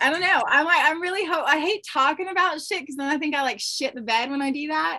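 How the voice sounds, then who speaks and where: A woman's raised, projected voice, high-pitched with a bright, sharp tone, at a very fast pace. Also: ordinary pitch variation. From Alaska. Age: 30s. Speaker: reality TV yacht crew member. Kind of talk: casual interview.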